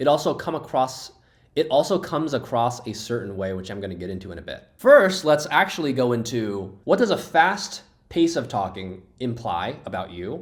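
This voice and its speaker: A man's medium-pitched voice with very wide pitch swings. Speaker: real estate agent. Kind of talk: talking-head monologue. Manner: slow with long pauses.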